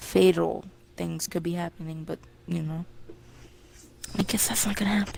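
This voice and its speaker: Over noticeable background noise, a woman with a fairly low voice speaks at a moderate pace with fairly even intonation and long, frequent pauses. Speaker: gamer podcast co-host. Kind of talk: casual chat. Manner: loud.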